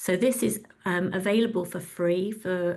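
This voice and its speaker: There is audible room echo around this woman's voice. She speaks at a medium pitch with fairly even intonation. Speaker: webinar host, communications director. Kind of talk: product demo in a webinar. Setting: online webinar. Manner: fast.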